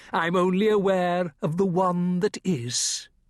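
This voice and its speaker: In a put-on character voice, a man speaks at a high pitch with fairly even intonation and a fairly slow pace, the sound dry and close with no echo. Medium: read story. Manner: quiet, measured, cryptic.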